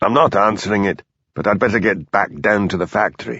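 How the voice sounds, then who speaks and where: A raspy, fairly low-pitched put-on character voice from a man, fairly quick, with ordinary pitch variation. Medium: read story.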